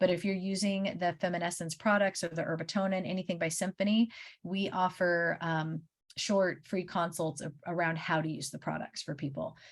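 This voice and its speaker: The woman's pitch sits fairly low. Her intonation stays fairly even. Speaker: naturopathic doctor. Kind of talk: webinar presentation. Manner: fast.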